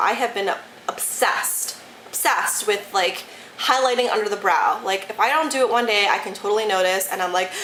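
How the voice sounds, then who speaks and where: Over noticeable background noise and audible room echo, a woman with an American accent talks at a fairly quick pace in a medium pitch. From Detroit, Michigan. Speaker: beauty YouTuber. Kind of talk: casual product review vlog. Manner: animated, enthusiastic.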